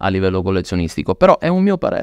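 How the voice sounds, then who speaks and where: Against a quiet background, a man's fairly low-pitched voice comes through dry with no echo. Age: 40s. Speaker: luxury watch dealer; podcast guest. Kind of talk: casual interview. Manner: animated. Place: studio. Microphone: studio mic.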